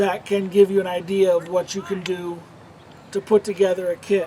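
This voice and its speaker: With light background noise, a man talks at a moderate pace in a high voice. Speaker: outdoor gear and survival kit youtuber; presenter. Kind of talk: tutorial. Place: forest.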